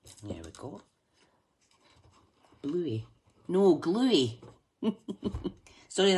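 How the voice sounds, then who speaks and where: Long, frequent pauses break up this very slow delivery in a Scottish accent. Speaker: craft livestreamer reading viewer messages. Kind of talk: casual, chatty, Scottish dialect words.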